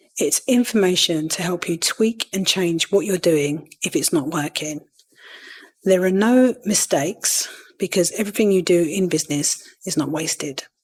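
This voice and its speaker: A woman with a Cockney accent speaks at a moderate pace in a fairly low pitch, with ordinary pitch variation. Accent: London Cockney. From East London. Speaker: podcast host, virtual assistant. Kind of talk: podcast self-interview answer.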